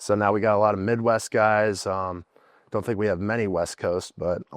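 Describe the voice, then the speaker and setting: Against a quiet background, with a dry, close sound and no echo, a man with an American accent talks in an unremarkable speaking voice, fairly low in pitch, fairly quick, with fairly even intonation. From Indiana. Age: 20s. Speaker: college football player. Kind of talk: interview.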